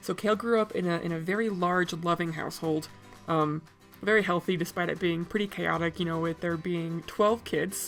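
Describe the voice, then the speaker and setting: A woman speaks in a fairly low voice with fairly even intonation. Music plays in the background. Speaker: tabletop role-player and artist. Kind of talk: casual talk to camera. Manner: fast.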